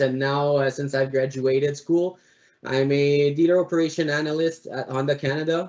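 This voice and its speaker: Speaking with a Quebec accent, a man keeps his intonation fairly even at a fairly quick pace. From Quebec, Montreal. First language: French. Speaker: automotive analyst, alumni panelist. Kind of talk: panel presentation. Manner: halting, many fillers.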